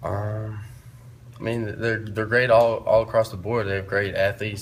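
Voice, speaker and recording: A man speaks with monotone, flat intonation, and the room echo is audible. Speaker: college football quarterback. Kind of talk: press conference. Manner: loud; hesitant, many fillers.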